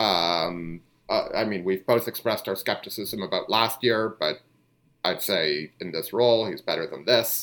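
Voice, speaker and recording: A man's unremarkable speaking voice, fairly low in pitch with ordinary pitch variation, at a moderate pace, over a silent background in a very clean recording. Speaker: basketball podcast host. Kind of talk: casual sports chat.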